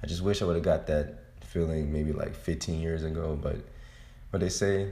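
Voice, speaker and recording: Audible room echo surrounds a man speaking at a very deep, low pitch. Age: 20s. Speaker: solo podcast host. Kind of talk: casual monologue. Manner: animated.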